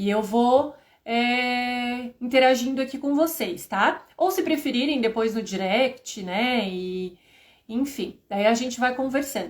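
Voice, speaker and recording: Speaking at a very slow pace, a woman uses a high voice with ordinary pitch variation. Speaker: HR and payroll instructor. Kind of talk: live stream lecture. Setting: live stream.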